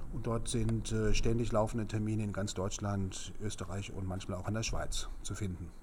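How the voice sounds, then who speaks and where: The voice has vocal fry and monotone, flat intonation at a moderate pace, with hardly any pauses. Audible room echo is present. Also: man, fairly low pitch for a man. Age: 50s. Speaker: speed-reading trainer. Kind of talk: interview.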